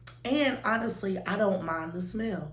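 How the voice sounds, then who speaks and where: There is noticeable background noise and audible room echo. A woman speaks at a fairly slow pace. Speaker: beauty vlogger. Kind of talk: product review. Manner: casual, filler-heavy.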